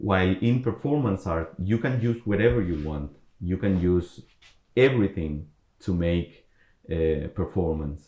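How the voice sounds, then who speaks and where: The man's pitch is very deep and low, with ordinary pitch variation. He has a dark, mellow tone and a fairly slow pace. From Colombia. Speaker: performance artist. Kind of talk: online talk with audience Q&A. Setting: online video talk. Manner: halting, with many fillers and repetitions.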